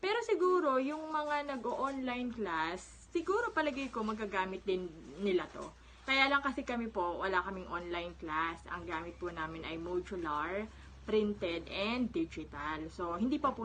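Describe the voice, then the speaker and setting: A woman speaks at a moderate pace. Her pitch rises and falls very widely. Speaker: public school teacher and vlogger. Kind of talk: casual vlog show-and-tell. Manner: conversational with frequent fillers.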